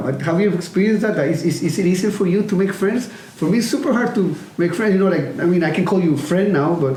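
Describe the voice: A man talks at a fairly quick pace with few pauses, his pitch high and his tone slightly mellow. His intonation is lively, and the room echo is audible.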